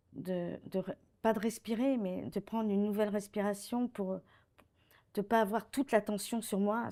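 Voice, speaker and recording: At a fairly slow pace, the voice has a dark, mellow tone and fairly even intonation in a very clean recording with a silent background. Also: woman. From France, Paris. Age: 60s. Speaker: retired director of social care facilities. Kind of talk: testimony.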